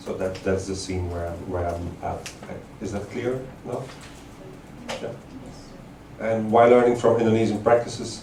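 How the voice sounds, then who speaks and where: A man's fairly low voice with long, frequent pauses, audible room echo and noticeable background noise. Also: fairly even intonation, moderate pace. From Belgium. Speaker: artist-researcher. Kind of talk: lecture. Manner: halting, many fillers.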